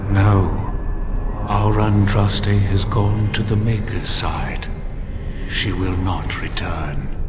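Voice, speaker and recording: Over loud background noise, a man uses a put-on character voice. It moves at a very slow pace with fairly low pitch. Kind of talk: solemn archaic speech. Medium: game stream. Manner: calm, grave, deliberate.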